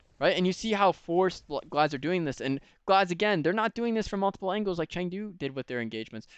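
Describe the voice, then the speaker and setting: Over a quiet background, a man talks very fast in a high pitch, the sound dry and close with no echo. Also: lively intonation. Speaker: esports coach reviewing match footage. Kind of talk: educational video review. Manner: animated.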